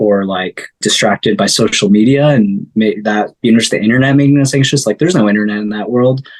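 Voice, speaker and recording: A man with an American accent, fairly even intonation, and a dry, close sound with no echo. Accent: sounds American. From upstate New York. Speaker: singer-songwriter. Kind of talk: interview conversation. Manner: casual, hesitant with filler words.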